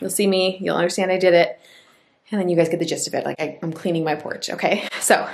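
A woman's very fast delivery in a monotone, flat intonation. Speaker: home makeover vlogger. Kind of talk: casual vlog chat. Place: home room. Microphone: phone near.

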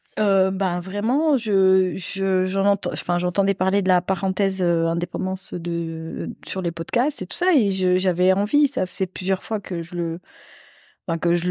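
At a fairly slow pace, a woman talks with a dark, mellow tone, a medium pitch and ordinary pitch variation, in a dry recording with no echo and a quiet background. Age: 40s. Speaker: nurse, coaching participant. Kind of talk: casual chat. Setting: on a sofa, in-person recording. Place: home room. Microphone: handheld.

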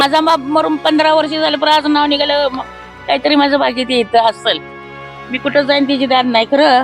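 A woman talks with a high pitch and fairly even intonation. Music plays in the background. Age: old. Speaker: farmer. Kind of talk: interview answer.

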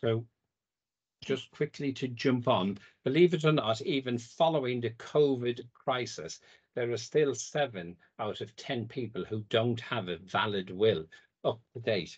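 A somewhat breathy man with a British accent, medium pitch, lively intonation and a fairly slow pace, against a quiet background. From UK. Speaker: legal firm founder. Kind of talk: presentation. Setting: video call. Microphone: video call.

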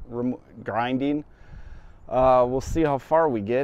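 Speaking at a fairly slow pace, a man is heard in a dry recording with no echo. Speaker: landscaping contractor. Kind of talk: casual job-site commentary. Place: garden. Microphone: lapel.

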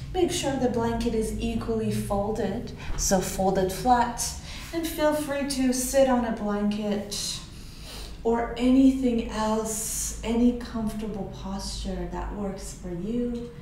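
With audible room echo and light background noise, a woman talks at a very slow pace in a gentle, soothing tone at a fairly high pitch. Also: ordinary pitch variation. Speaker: yoga instructor. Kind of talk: guided meditation. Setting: online video class. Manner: slow, soothing, calm; gentle, unhurried cueing with pauses. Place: home room.

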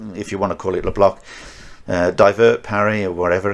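A man's fairly low voice in a Birmingham accent, fairly quick and monotone with flat intonation. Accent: Birmingham (Brummie) English. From Birmingham, England. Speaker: martial arts instructor. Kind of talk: casual chat.

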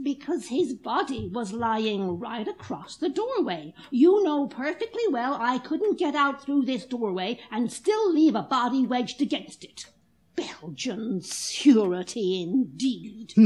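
A woman talks at a fairly slow pace with hardly any pauses. Her high voice swings very widely in pitch. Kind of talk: 1940s radio drama. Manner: brisk, tart, unflappable.

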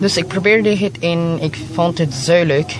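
A man is heard in a dry recording with no echo but noticeable background noise. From Philippines. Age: young. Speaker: language learner; language learner vlogger. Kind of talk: vlog monologue. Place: home room. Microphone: phone near.

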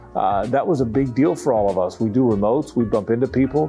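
Faint music plays behind a man with an American accent. He talks at a moderate pace with ordinary pitch variation. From Jacksonville, Florida. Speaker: sports radio host and football play-by-play broadcaster. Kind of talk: casual reminiscing interview answer. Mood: warm, nostalgic.

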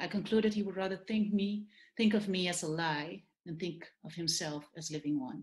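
Speaking at a moderate pace with a Dutch accent, a woman has a somewhat breathy voice, ordinary pitch variation and big swings in loudness. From Netherlands. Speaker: novelist. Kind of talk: panel discussion. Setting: video call. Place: home room. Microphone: webcam.

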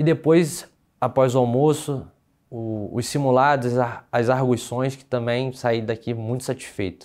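Over a quiet background, a man with a medium pitch talks at a fairly slow pace, his intonation fairly even while his loudness swings widely. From Brazil, Rio de Janeiro city. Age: 30s. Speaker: lawyer and police exam candidate; lawyer, candidate. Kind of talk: testimonial interview. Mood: relieved, content. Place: studio. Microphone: lapel.

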